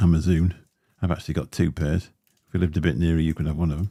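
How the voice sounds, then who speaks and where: A man with a very deep, low, dark and mellow voice speaks at a very fast pace. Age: 50s. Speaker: vaping livestreamer. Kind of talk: casual livestream chat. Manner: casual, rambling with fillers. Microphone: Shure SM7B dynamic mic, some crackling.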